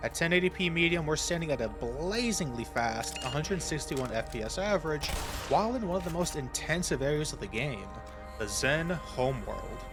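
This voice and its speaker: A man's fairly high voice with lively intonation at a fairly quick pace, music playing behind him. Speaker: tech reviewer. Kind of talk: tech review voice-over.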